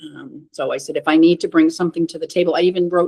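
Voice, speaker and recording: A woman's fairly low, dark and mellow voice in a dry, close sound with no echo. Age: 60s. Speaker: cancer patient sharing her story. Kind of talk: interview testimony.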